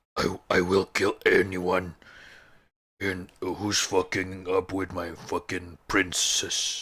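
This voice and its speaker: In a very clean recording with a silent background, a man puts on a character voice that is husky and raspy, pitched very deep and low, speaking at a very slow pace. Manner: threatening.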